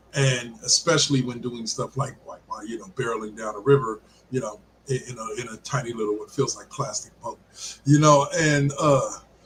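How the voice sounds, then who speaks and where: Over noticeable background noise, a man speaks at a moderate pace and medium pitch with ordinary pitch variation and big swings in loudness. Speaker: sports podcast host. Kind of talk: casual chat. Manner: halting.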